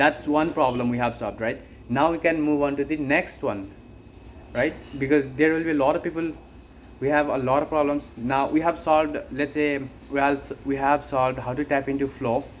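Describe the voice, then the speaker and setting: At a moderate pace, a man with a fairly high pitch speaks in a fairly even intonation. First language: not English. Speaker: online business creator. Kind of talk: unscripted monologue. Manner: halting.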